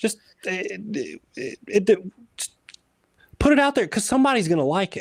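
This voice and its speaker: With an American accent and a high pitch, a man speaks at a moderate pace, taking long, frequent pauses, his pitch swinging very widely and his loudness swinging a lot, all in a dry, close sound with no echo. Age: 30s. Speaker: motorsport photographer and social media manager. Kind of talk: casual chat. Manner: animated.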